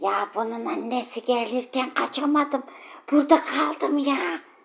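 In a put-on character voice, a female-sounding speaker talks at a moderate pace with a high pitch.

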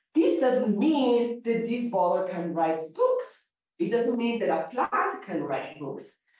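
A woman's fairly high voice with very wide pitch swings at a very slow pace, strong room echo and a quiet background. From Italy. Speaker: philosophy professor. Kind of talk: lecture. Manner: halting. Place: classroom. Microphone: camera far.

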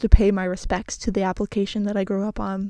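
A woman talks at a fast pace with a medium pitch and a dark, mellow tone.

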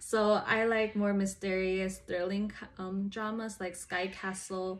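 Speaking fairly slowly with an American accent, a woman uses ordinary pitch variation. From US, California. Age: 20s. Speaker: college student. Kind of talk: interview. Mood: relaxed, friendly. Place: home room. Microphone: earbuds.

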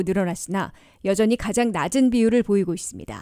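A woman's fairly high-pitched voice with a dark, mellow tone and ordinary pitch variation, dry and close with no echo, on a very clean recording with a silent background. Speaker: news anchor. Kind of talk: news reading. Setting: studio. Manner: formal.

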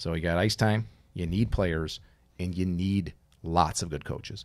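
With an American accent, a man speaks at a moderate pace in a very deep, low pitch, with ordinary pitch variation. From Minnesota. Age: 50s. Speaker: former college hockey player, youth coach; podcast co-host. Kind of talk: casual chat. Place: studio. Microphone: studio mic.

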